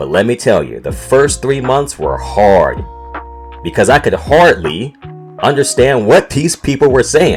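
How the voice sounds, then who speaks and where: Music plays in the background as a man speaks at a fairly slow pace with a Southern US accent. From North Carolina, USA. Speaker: podcast host. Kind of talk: casual podcast storytelling.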